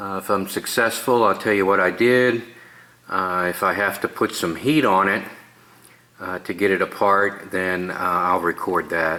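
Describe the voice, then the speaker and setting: Against noticeable background noise, a man talks at a fairly low pitch with fairly even intonation. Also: moderate pace. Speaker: DIY auto repair vlogger. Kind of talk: tutorial. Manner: casual, with many filler words.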